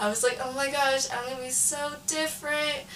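A woman speaks with an American accent at a fairly slow pace. Noticeable background noise sits behind her voice. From California, East Bay. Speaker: college student. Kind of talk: casual chat.

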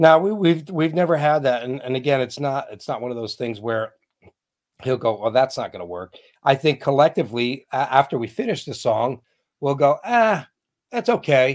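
A plain, everyday voice from a man, medium in pitch, at a moderate pace, with lively intonation and big swings in loudness. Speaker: band vocalist and drummer. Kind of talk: casual interview chat.

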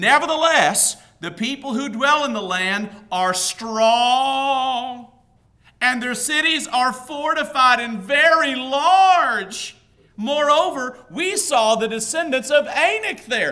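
A woman's put-on character voice, whiny and high-pitched, with lively intonation at a fairly slow pace. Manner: whiny, fearful.

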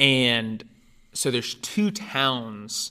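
A man's bright, sharp voice with a Californian accent, on a very clean recording over a silent background. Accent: General American (California). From Northern California. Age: 20s. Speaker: adoptee telling life story, pastoral apprentice. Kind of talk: personal testimony in interview.

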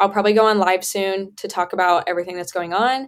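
A woman with an American accent speaks in an unremarkable speaking voice with fairly even intonation. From US Midwest (Indiana). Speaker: university student and social media creator. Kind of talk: casual chat. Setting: video call.

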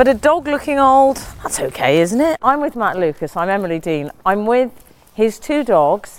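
Over noticeable background noise, a woman speaks at a moderate pace in a fairly high pitch with very wide pitch swings. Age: 40s. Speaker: podcast host. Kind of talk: casual chat. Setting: outdoors.

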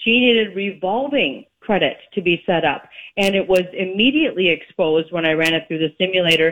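A woman talks at medium pitch in a normal speaking voice. Her intonation is lively and her pace fairly quick. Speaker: mortgage lender and credit expert. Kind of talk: radio interview chat about real estate and credit. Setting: phone call.

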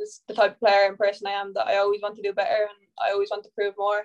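A woman speaks very fast with an Irish accent. Her pitch is fairly high. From Ireland. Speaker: professional footballer. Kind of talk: casual interview.

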